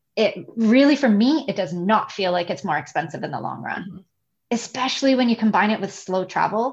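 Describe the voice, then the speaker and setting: A woman's somewhat breathy, fairly high voice in a Canadian accent, fairly quick and with lively intonation. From Canada, Toronto. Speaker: digital nomad and virtual assistant. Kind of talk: podcast interview. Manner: animated.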